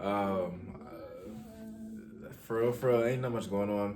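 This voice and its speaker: A man speaks quietly and very slowly with ordinary pitch variation, amid noticeable background noise and audible room echo. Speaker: host's boyfriend. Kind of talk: casual chat.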